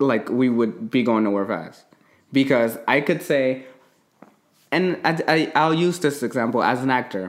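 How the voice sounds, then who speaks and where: At a fairly slow pace, a man of medium pitch speaks in an animated tone with lively intonation. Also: very even loudness. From United States. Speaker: podcast host. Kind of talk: casual chat.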